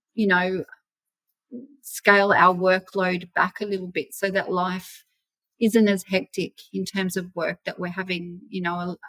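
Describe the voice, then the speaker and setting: In an Australian accent, a woman speaks at a fairly slow pace in a medium pitch with a bright, sharp tone and monotone, flat intonation, leaving long, frequent pauses, with a dry, close sound with no echo. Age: 50s. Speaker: property investor. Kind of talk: interview.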